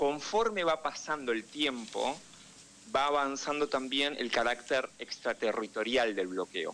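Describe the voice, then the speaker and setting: Speaking with a Rioplatense accent, a man has a bright, sharp tone and a fairly high pitch. His intonation is lively and his pace fairly slow. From Argentina, Buenos Aires. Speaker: political analyst and correspondent. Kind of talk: radio interview.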